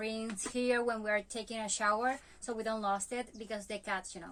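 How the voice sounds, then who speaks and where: A woman with a Spanish accent speaks at a moderate pace and fairly high pitch. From Venezuela. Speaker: van life vlogger. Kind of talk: home tour. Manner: halting, many fillers.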